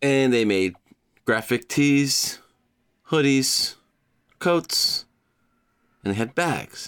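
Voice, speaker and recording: A man at a very slow pace, with long, frequent pauses, very even loudness and ordinary pitch variation, on a very clean recording with a silent background. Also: medium pitch for a man. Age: 40s. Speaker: podcast host. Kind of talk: solo podcast monologue. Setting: home recording with microphone. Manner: casual, rambling with laughs.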